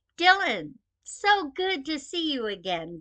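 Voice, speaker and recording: A woman performs a put-on character voice at a high pitch. Her pitch swings very widely, and she speaks at a fairly slow pace. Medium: read story. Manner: warm, hospitable.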